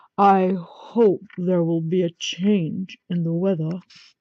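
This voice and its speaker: A gruff, put-on character voice from a woman, medium in pitch, at a fairly slow pace. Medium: read story.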